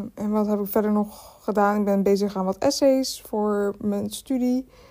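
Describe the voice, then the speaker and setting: Her tone dark and mellow, a woman speaks at medium pitch and a fairly slow pace. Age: 20s. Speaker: podcaster and art history student. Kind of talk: casual solo chat. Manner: hesitant, many filler sounds.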